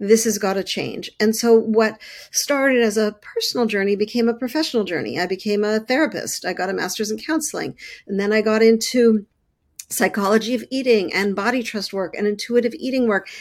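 On a very clean recording with a silent background, a woman with a plain, everyday voice and a Canadian accent talks at a fairly quick pace and fairly high pitch with ordinary pitch variation. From Canada, Montreal. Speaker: body-image coach and therapist. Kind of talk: interview conversation.

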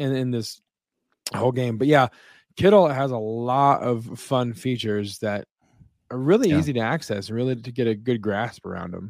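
A man talks in a normal speaking voice on a very clean recording with a silent background. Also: medium pitch for a man, ordinary pitch variation, moderate pace. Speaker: podcast host. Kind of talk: casual podcast chat. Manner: upbeat, jokey.

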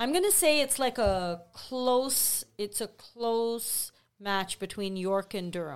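The delivery is very slow with lively intonation, on a very clean recording with a silent background. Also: woman, fairly high pitch for a woman. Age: 50s. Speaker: real estate sales representative. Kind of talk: casual chat.

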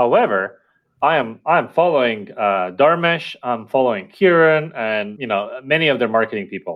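A man speaks at a moderate pace with lively intonation. His loudness swings widely. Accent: Estonian. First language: Estonian. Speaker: company founder and CEO. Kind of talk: interview.

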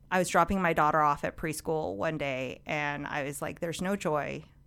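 In a very clean recording with a silent background, a woman with an American accent speaks at a moderate pace, her very deep, low voice showing vocal fry. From US, Orange County, California. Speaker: political fundraiser and former lawyer. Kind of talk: interview.

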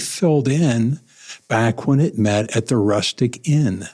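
An unremarkable speaking voice with an American accent and ordinary pitch variation. The recording is very clean, with a silent background. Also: man. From southwest Missouri. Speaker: pastor. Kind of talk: interview.

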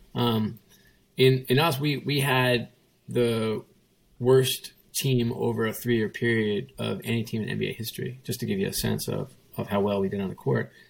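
At a moderate pace, a man speaks in a medium pitch with an unremarkable speaking voice. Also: fairly even intonation. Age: 50s. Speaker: sports executive. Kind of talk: interview. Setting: video call from home kitchen.

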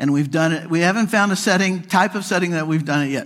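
A man with a Midwestern American accent talks in a fairly high pitch. The recording is very clean, with a silent background. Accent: General Midwestern American. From US Midwest, near Kansas City. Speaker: psychologist and workplace speaker. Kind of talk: conference keynote talk. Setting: stage with audience. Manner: straightforward, practical.

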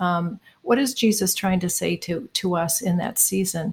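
A woman speaks at a medium pitch, somewhat breathy, with fairly even intonation, on a very clean recording with a silent background. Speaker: co-author, pastoral counselor and painter. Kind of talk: casual interview chat.

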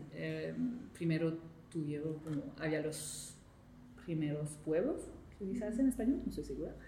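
A woman with a French accent, fairly slow pace, long and frequent pauses, and audible room echo. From Quebec, Montreal. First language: French (speaking Spanish). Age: 20s. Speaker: intern. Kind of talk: interview. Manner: halting.

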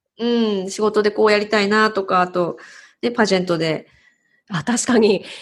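A woman speaks at a moderate pace and medium pitch with ordinary pitch variation, long, frequent pauses and a quiet background. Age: 40s. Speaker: bilingual MC and narrator. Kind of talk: interview.

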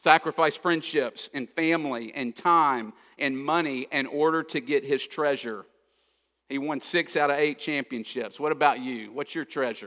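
A man speaks at a moderate pace with a fairly high pitch, ordinary pitch variation, and a bright, sharp tone. The recording is very clean, with a silent background. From Kentucky. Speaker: pastor. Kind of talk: sermon. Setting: church.

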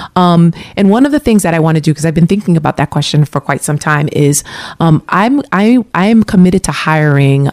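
A woman's fairly low voice with lively intonation and a fairly quick pace, dry and close with no echo. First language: not English. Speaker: city councillor and mayoral candidate. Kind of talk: radio interview. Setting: radio studio. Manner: hesitant, many fillers.

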